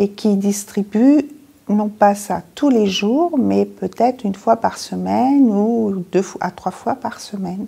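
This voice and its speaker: A very slow, somewhat breathy woman's voice with a dark, mellow tone, medium pitch and ordinary pitch variation. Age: 60s. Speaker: patient with diabetes. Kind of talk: interview testimony.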